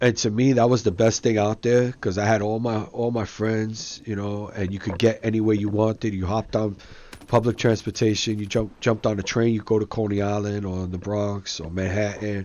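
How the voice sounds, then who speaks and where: In an East Coast accent, a man with a fairly low voice talks fairly quickly in flat, monotone intonation with hardly any pauses. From Brooklyn, New York. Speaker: gaming YouTuber. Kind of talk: casual chat over gameplay. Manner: casual, slangy.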